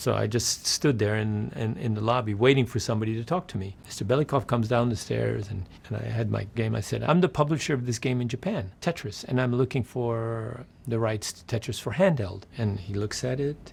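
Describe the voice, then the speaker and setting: A somewhat breathy male voice with an American accent, medium in pitch, with ordinary pitch variation and a fairly quick pace. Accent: sounds American. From Netherlands, later New York City. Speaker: game publisher. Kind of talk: interview storytelling. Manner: animated; simple, clear English.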